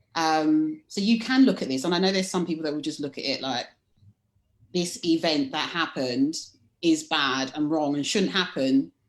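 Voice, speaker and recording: Very deep and low in pitch, a woman speaks with a London accent. She keeps a moderate pace and lively intonation. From London, England. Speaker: leadership coach. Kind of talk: casual chat.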